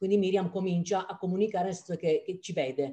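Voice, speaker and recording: The background here is quiet. A woman speaks with a dark, mellow tone. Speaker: parent asking a question. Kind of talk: audience question. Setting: video call. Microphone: video call.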